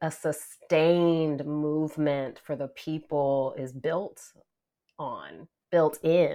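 Against a quiet background, a woman talks at a very slow pace. Her pitch is very deep and low. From US South. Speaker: nonprofit executive director. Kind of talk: casual chat.

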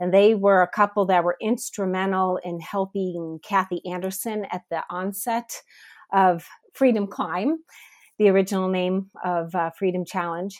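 A woman with an ordinary speaking voice talks at a fairly slow pace, her medium pitch carrying fairly even intonation, in a very clean recording with a silent background. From US Midwest, Northeast Ohio. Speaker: missionary. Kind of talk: interview testimony.

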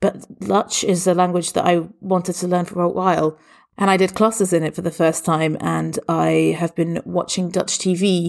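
A woman speaks with an English accent in flat, monotone intonation. The recording is very clean, with a silent background. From England. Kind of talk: interview answers.

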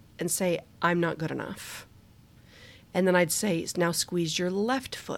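A woman speaks in a normal speaking voice at medium pitch. Her pace is fairly slow, and the recording is very clean with a silent background. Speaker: podcast host. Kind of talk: guided relaxation exercise, leading body-tension release. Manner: slow, calm, soothing, with pauses between cues; casual and giggly, laughing at herself.

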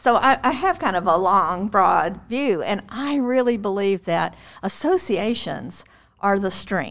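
A woman with a normal speaking voice talks at a medium pitch and a fairly slow pace. Her intonation is lively, and the recording is very clean with a silent background. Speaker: retired special education administrator and consultant. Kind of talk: interview.

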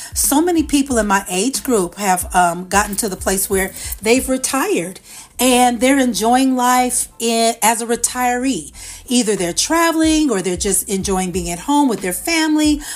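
A woman's fairly high voice at a moderate pace, with lively intonation and music in the background. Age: 50s. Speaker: podcast host and author. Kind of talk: solo podcast talk.

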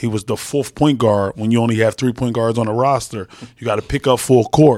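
A man with an American accent speaks in a normal speaking voice at medium pitch, with fairly even intonation, on a very clean recording with a silent background. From Philadelphia. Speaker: basketball assistant coach. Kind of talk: interview.

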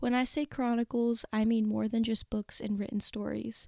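In a very clean recording with a silent background and a dry, close sound with no echo, a woman with a fairly high pitch talks at a moderate pace in a plain, everyday voice. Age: 20s. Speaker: book podcast host. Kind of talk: solo podcast introduction. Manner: upbeat.

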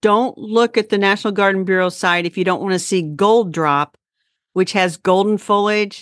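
Against a quiet background with a dry, close sound and no echo, a woman with an unremarkable speaking voice talks at a moderate pace with fairly even intonation. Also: medium pitch for a woman. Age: 60s. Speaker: gardening podcast host. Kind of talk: casual chat. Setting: video call.

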